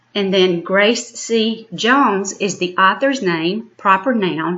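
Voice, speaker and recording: This woman has a plain, everyday voice at a medium pitch with ordinary pitch variation. She talks at a fairly slow pace. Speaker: elementary school teacher. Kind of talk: recorded lesson. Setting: home recording.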